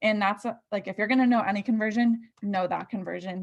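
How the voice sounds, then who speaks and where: Her voice is somewhat breathy, with fairly even intonation. The woman keeps a moderate pace. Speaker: nursing student tutor. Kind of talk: tutorial.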